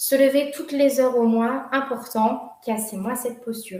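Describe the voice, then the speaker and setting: This woman's high voice moves through ordinary pitch variation at a moderate pace, with audible echo from the room. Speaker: workshop leader on workplace wellbeing. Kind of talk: online workshop presentation. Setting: video call.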